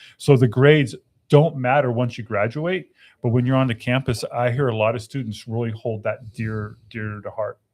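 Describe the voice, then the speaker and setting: On a very clean recording with a silent background, a man talks in a normal speaking voice at medium pitch and a moderate pace, with ordinary pitch variation. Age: 50s. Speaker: university veteran services staff. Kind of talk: casual chat.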